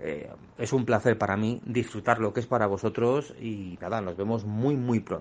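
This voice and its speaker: A man's medium-pitched, ordinary speaking voice at a moderate pace, with ordinary pitch variation. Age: 40s. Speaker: illustrator. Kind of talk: recorded voice message.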